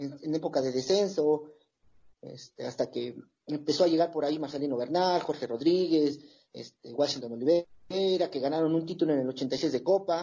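This man speaks at a moderate pace in an ordinary speaking voice, fairly high in pitch, with ordinary pitch variation. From Toluca, Mexico. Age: 40s. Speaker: football supporters' group member. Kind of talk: casual chat.

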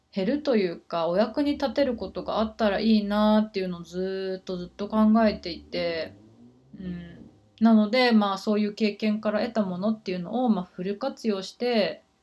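A woman is talking at a moderate pace. Her pitch variation is ordinary. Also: medium pitch for a woman. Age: 30s. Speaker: life coach. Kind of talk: casual monologue. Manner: hesitant.

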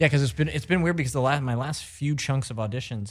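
With an American accent, a man speaks at a very fast pace, his voice somewhat breathy. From US Midwest (Missouri). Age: 30s. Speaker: radio co-host. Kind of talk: casual chat.

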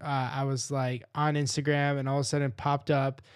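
A man with an American accent and an ordinary speaking voice talks at a moderate pace and fairly high pitch, with fairly even intonation. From Rochester, New York, US. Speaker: podcast host. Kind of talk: podcast outro; interview conversation. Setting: video call.

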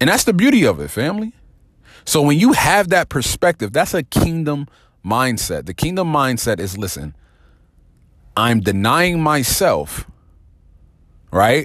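In a very clean recording with a silent background and a dry, close sound with no echo, a man with an American accent speaks at a fairly slow pace with long, frequent pauses, an animated, energetic tone, vocal fry, and a fairly high pitch that swings very widely. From New Jersey. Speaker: podcast host, faith and business motivational speaker. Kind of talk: motivational monologue. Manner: casual with frequent fillers.

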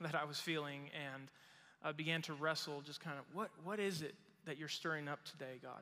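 A man's bright, sharp voice comes at a fairly high pitch and a fairly quick pace. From Mexico. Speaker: pastor. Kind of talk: sermon. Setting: church service in a small room. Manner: animated.

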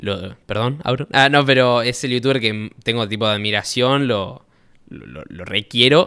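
Bright and sharp in tone, a man's voice sits at a medium pitch. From Argentina, Rosario. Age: 20s. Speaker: youtuber. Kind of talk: casual chat.

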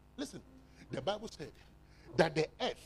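This man's animated tone carries very wide pitch swings. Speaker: preacher. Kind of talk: fiery charismatic sermon with call-and-response. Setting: church. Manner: animated, exhortative, crowd-rousing; loud, rhythmic and repetitive.

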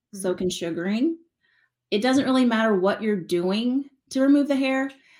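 A somewhat breathy woman speaks at a fairly slow pace with lively intonation on a very clean recording with a silent background. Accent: American. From West Texas. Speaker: business owner. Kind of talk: interview.

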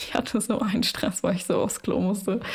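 Speaking at a fairly quick pace, a woman uses a fairly high pitch with monotone, flat intonation. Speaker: podcast host. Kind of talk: casual chat.

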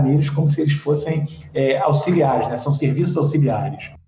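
Noticeable background noise accompanies a man whose voice is fairly high-pitched. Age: 50s. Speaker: sociology teacher. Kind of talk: interview.

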